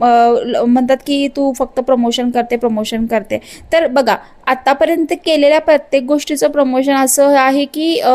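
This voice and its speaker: Here a woman speaks with a high pitch. Her loudness stays very even. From grew up moving around India, born in Madhya Pradesh. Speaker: vlogger. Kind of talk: vlog monologue. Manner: animated.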